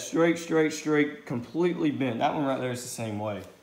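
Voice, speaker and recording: A man at a very fast pace, with audible room echo. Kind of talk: casual workshop commentary. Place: garage. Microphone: phone near.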